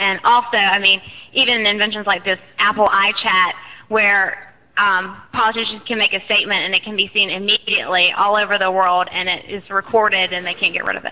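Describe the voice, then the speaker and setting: Over noticeable background noise, a woman with an American accent and medium pitch talks at a fairly quick pace in a monotone, flat way. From North Carolina, Jamestown. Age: 20s. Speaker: audience questioner. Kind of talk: question to a panel.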